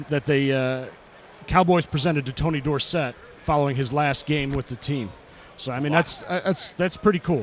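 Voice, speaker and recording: This man has an ordinary speaking voice at a fairly high pitch. He talks at a moderate pace with ordinary pitch variation. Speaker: auction house representative. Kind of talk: radio interview answer. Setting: live radio row event.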